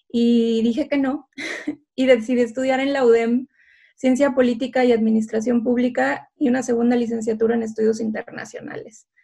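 The woman's voice is high, with a dark, mellow tone. Her intonation stays flat and monotone. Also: moderate pace. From northern Mexico, Tamaulipas (Ciudad Victoria). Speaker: political scientist and tech founder. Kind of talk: interview.

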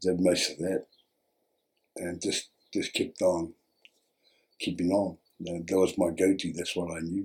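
A man's very deep, low voice, monotone and flat, at a fairly slow pace with long, frequent pauses. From New Zealand, Bay of Plenty (Whakatane). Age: 60s. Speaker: former gang member in rehab. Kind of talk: interview testimony. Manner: halting.

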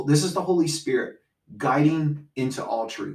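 Fairly high in pitch and somewhat breathy, a man speaks at a moderate pace. His intonation is lively. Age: 40s. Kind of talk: casual faith discussion.

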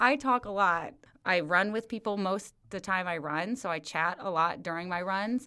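A woman's bright, sharp tone on a very clean recording with a silent background. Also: medium pitch for a woman, ordinary pitch variation, moderate pace. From US Midwest. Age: 40s. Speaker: running coach. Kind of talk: casual chat. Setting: in person.

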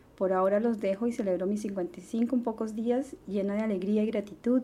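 Somewhat breathy and dark, mellow in tone, a woman talks at a medium pitch with ordinary pitch variation. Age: 50s. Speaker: podcast host and astrologer. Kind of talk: reflective monologue.

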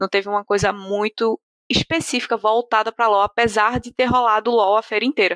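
Dry and close with no echo, a woman's fairly high, bright, sharp voice keeps a fairly even intonation. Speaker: esports podcast host. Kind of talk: casual chat.

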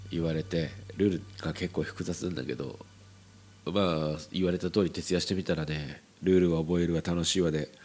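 A man's very deep, low voice, fairly even in intonation, on a very clean recording with a silent background. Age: 40s. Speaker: podcast host. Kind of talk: solo monologue. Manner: halting; slow.

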